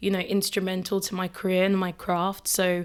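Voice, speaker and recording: A woman's medium-pitched, flat, monotone voice on a very clean recording with a silent background. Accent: English. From Kent, southeast England. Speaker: screenwriter and director. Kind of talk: casual interview.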